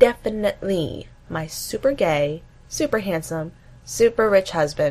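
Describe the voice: What you hear is plain reading aloud.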